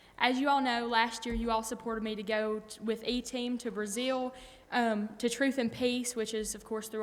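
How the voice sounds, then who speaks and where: A woman with an American accent talks in a space with audible room echo. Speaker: church member reporting on mission trips. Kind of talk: testimony. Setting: church.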